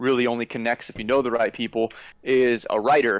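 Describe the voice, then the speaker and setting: A man's medium-pitched, monotone voice with flat intonation, dry and close with no echo, on a very clean recording with a silent background. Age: 30s. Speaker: screenwriter and videographer. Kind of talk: casual chat.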